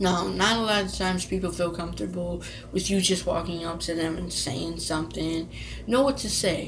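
A woman talks at a moderate speed while noticeable background noise carries on. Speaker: vlogger. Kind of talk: casual vlog advice talk. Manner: repeats herself, stutters when nervous. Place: home room. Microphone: webcam.

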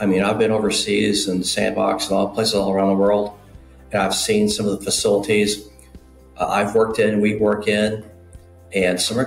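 A man with a fairly low pitch speaks at a moderate pace with fairly even intonation. Audible room echo and faint music in the background accompany him. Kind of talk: interview answer. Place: home room. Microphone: webcam.

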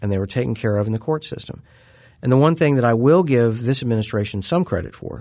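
A man's fairly low voice with lively intonation. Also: quiet background. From US Midwest (Southwest Missouri). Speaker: policy analyst, former intelligence officer. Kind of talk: interview discussion. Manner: halting, frequent repetitions and fillers.

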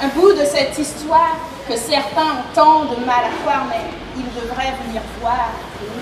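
A woman speaks at a high pitch and a very slow pace, with audible room echo and noticeable background noise. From Martinique. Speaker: slam poet and storyteller. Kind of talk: slam poetry performance. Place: tent.

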